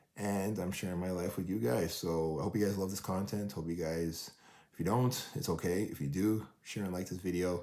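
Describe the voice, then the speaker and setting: At a moderate pace, a speaker with a dark, mellow tone and ordinary pitch variation is heard with audible room echo. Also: man, very deep, low pitch for a man. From Canada, Toronto. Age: 40s. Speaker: vlogger and track runner, father of four. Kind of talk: casual vlog monologue. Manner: casual, filler-heavy.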